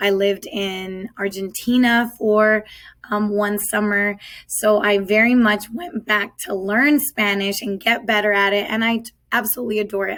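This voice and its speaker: Here a woman with an American accent speaks at a fairly slow pace. Her intonation stays fairly even. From Southern California, US. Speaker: high school Spanish teacher. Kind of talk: virtual back-to-school night presentation.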